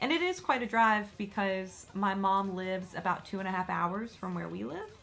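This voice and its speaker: A woman speaks at a moderate pace with a Southern US accent. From US South. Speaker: YouTuber. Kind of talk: casual vlog chat. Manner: casual with fillers.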